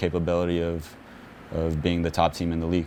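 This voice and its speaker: A man speaks quietly. His voice is very deep and low. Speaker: professional soccer midfielder. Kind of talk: press conference interview. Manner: quiet, reserved; halting, many repetitions and fillers.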